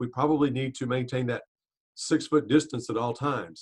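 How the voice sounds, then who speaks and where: Here a man speaks at a medium pitch and moderate pace. His pitch varies in an ordinary way. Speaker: public health official. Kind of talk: panel discussion. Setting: video call. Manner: loud; halting.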